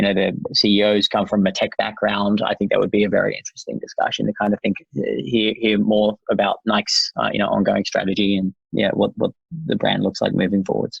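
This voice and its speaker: A man at a fairly quick pace, in an Australian accent. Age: 30s. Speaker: tech company founder. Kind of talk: podcast interview. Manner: fast; halting, many fillers and restarts.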